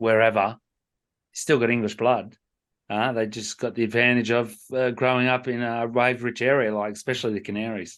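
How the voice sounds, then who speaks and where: This voice comes with an Australian accent at a fairly quick pace. The intonation is monotone and flat, over a quiet background. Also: man, medium pitch for a man. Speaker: surf podcast co-host. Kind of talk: casual chat.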